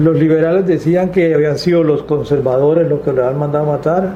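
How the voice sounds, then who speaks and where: Fairly quick, monotone speech from a man at a fairly high pitch, with flat intonation, noticeable background noise and audible room echo. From Colombia, Huila (Guadalupe). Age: 70s. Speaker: witness of political violence. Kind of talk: testimony.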